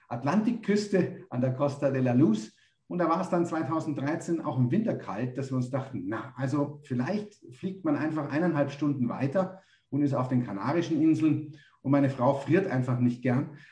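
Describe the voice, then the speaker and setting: With a dark, mellow, somewhat breathy tone, a man speaks at a fairly high pitch with ordinary pitch variation. His moderate pace carries audible room echo. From Munich, Germany. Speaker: business consultant, company founder. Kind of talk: interview. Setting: remote call.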